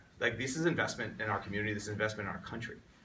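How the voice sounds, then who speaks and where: Someone with an American accent speaks, with audible room echo in the recording. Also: man. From Long Island, New York. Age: 30s. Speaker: congressional candidate. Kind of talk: interview.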